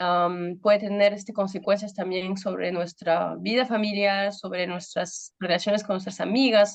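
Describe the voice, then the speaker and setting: A woman's medium-pitched voice at a moderate pace, with fairly even intonation. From Peru. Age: 30s. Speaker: pastor. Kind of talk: testimony. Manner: halting, many fillers.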